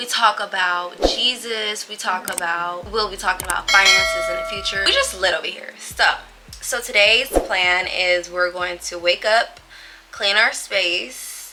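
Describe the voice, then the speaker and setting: Music plays in the background as a woman speaks at a medium pitch. Her pace is fairly slow and her intonation fairly even. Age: 20s. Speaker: lifestyle vlogger. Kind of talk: casual vlog talk. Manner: chatty, filler-heavy.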